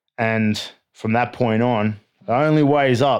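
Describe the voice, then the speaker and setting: The speaker has an Australian accent. The recording is very clean, with a silent background. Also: man. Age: 30s. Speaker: army veteran. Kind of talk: casual chat.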